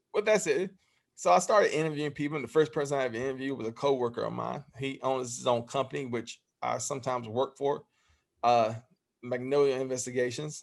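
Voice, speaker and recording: Very fast speech from a man with a Southern US accent, medium pitch and ordinary pitch variation. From Alabama (Phenix City). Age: 30s. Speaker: YouTube interviewer. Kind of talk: interview. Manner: halting.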